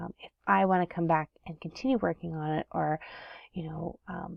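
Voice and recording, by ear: A woman talks at a moderate pace and fairly low pitch with vocal fry. Her intonation stays fairly even in a dry, close sound with no echo.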